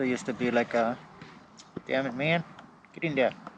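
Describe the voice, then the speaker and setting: Mumbling at a medium pitch with ordinary pitch variation, a man speaks over noticeable background noise. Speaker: electric unicycle vlogger. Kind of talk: casual repair walkthrough. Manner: mumbly.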